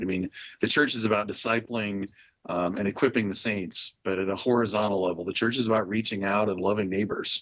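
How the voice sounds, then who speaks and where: Moving at a fairly quick pace, a man with a fairly low pitch and fairly even intonation has a plain, everyday voice. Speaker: university professor. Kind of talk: radio interview.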